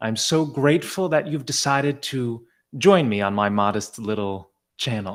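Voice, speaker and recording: Heard on a very clean recording with a silent background, a man with a plain, everyday voice speaks at medium pitch and moderate pace with lively intonation. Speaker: podcast host. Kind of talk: podcast intro.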